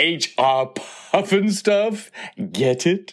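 Using a put-on character voice, a man talks at a very slow pace with fairly high pitch, a fairly bright tone and lively intonation.

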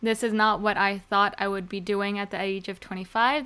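A woman with an American accent speaks at a moderate pace in a medium pitch, her tone bright and sharp. Her intonation stays monotone and flat, and the recording is very clean with a silent background. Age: 20s. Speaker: podcast host. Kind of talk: casual solo vlog-style monologue.

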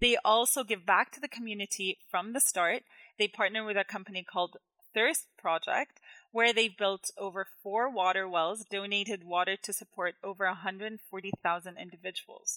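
A woman speaks at a medium pitch with a bright, sharp tone and ordinary pitch variation. The sound is dry and close with no echo, on a very clean recording with a silent background. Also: moderate pace. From Jordan. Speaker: food industry journalist. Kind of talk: casual discussion.

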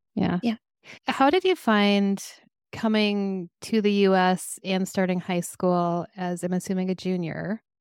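A woman with an American accent speaks fairly slowly at medium pitch. Her intonation is fairly even, and the sound is dry and close with no echo. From US Midwest, Minnesota. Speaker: podcast host, electrical engineer. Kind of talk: casual interview. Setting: video call.

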